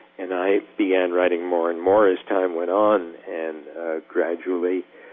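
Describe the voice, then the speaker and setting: Through noticeable background noise comes a man's very deep, low voice. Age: 70s. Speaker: surgeon and author. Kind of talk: interview.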